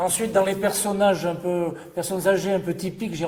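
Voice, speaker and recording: A man speaks with audible room echo. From Ardèche, France. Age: 60s. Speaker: photographer. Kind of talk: reminiscing interview monologue. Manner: hesitant.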